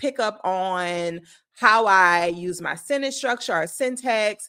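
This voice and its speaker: Bright and sharp in tone, a woman with a South Louisiana accent speaks with ordinary pitch variation in a very clean recording with a silent background. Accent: South Louisiana Southern US. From US South, South Louisiana. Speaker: leadership consultant. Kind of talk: talking-head video essay. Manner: measured, with frequent filler words.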